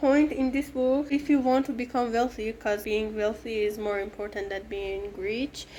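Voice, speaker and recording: A woman speaks with an Iranian accent and ordinary pitch variation. She goes at a fairly slow pace. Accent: Iranian (Persian) accent in English. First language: Persian. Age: 20s. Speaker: booktuber and vlogger. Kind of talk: personal vlog narration; book review clips. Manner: halting.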